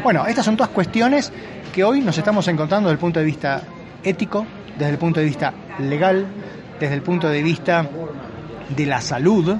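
Over noticeable background noise, a man with an Argentine accent speaks at a fairly quick pace in a high pitch, with lively intonation and long, frequent pauses. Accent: Argentine Spanish (voseo). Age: 50s. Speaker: physician and ageing researcher. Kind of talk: interview.

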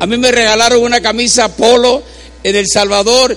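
A man's high-pitched, animated voice at a moderate pace, over noticeable background noise. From Puerto Rico. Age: 60s. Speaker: preacher. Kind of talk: sermon.

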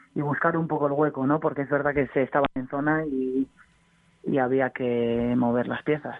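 Speaking at a moderate pace, a woman has a very deep, low pitch. Her intonation is monotone and flat. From Bilbao, Basque Country, Spain. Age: young. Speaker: basketball player. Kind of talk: casual radio interview.

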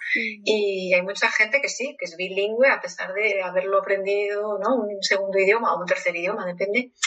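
Using a normal speaking voice, a woman talks at a moderate pace in a medium pitch with fairly even intonation. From Spain. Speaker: psychologist. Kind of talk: interview.

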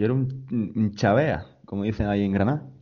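A man talks in a normal speaking voice at a fairly low pitch. His intonation is lively. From Almería, Spain. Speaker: podcast host. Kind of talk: casual chat.

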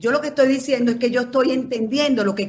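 Ordinary pitch variation runs through a woman's somewhat breathy speech. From Venezuela, Caracas. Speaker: journalist. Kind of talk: casual chat.

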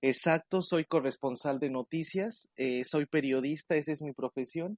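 A man with a Mexican accent at a fairly high pitch, fairly slow pace, and ordinary pitch variation, in a dry, close sound with no echo and a quiet background. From Mexico. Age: 20s. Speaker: news correspondent. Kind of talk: interview.

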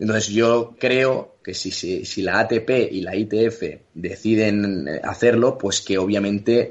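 Flat, monotone intonation in a man's fairly low pitch. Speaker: retired tennis player. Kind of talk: interview.

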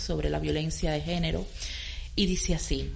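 A woman with a Cuban accent, with audible room echo and noticeable background noise. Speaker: art curator. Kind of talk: radio interview.

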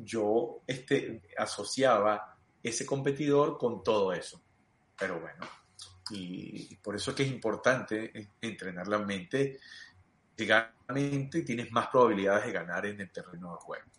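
A man speaks at a medium pitch and fairly slow pace, with long, frequent pauses. His loudness swings widely against a quiet background. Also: ordinary pitch variation. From Venezuela (Los Teques, Mérida). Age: 40s. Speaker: sports coach. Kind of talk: interview. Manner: halting, repeats words.

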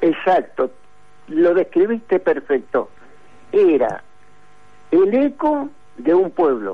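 Speaking in a Rioplatense accent, a man uses a high pitch with very wide swings and very even loudness. He talks at a very slow pace, with long, frequent pauses. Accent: Argentine Spanish (rioplatense). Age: 70s. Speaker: retired sports journalist. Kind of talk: interview.

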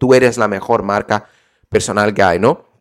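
Recorded very cleanly against a silent background, a man speaks at medium pitch in an animated tone. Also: dry, close sound with no echo. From Brazil. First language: Portuguese (speaking Spanish). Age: 20s. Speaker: podcast host, online business coach. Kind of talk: solo podcast tutorial.

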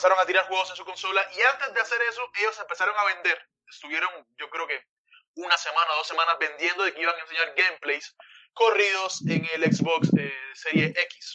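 This man's voice is high-pitched with ordinary variation. He moves along at a fairly quick pace. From Cuba. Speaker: gaming podcast co-host. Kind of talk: casual chat.

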